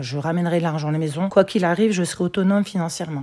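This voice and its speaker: On a very clean recording with a silent background, a dark, mellow voice talks very fast with ordinary pitch variation. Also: woman. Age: 60s. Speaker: local politician. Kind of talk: interview.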